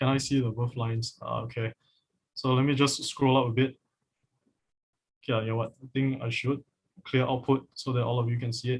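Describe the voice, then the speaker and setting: At a fairly quick pace broken by long, frequent pauses, a man with a medium pitch speaks in a monotone, flat intonation, his voice somewhat breathy. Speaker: coding instructor. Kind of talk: live online coding class. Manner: halting, many fillers.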